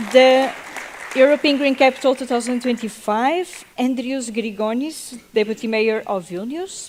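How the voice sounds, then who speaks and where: With noticeable background noise underneath, the words come fairly slowly and the pitch moves in an ordinary way. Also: woman, high pitch for a woman. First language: Portuguese. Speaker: panel moderator. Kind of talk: panel moderation. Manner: halting.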